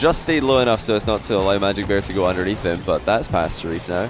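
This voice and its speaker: With music in the background and audible room echo, a man with a Scottish accent speaks at a moderate pace in a fairly low pitch. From Scotland. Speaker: esports caster. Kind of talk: live commentary. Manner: animated.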